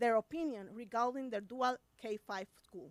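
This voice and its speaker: A woman with a Spanish accent speaks at a moderate pace, with a high pitch and ordinary pitch variation. The sound is dry and close, with no echo. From Puerto Rico. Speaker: special education teacher. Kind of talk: public comment at school board meeting. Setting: school board meeting. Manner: reading prepared statement.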